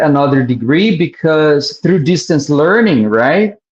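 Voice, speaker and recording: Using a plain, everyday voice, a man talks with lively intonation at a fairly high pitch. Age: 50s. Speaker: educator. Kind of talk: interview conversation. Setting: live stream.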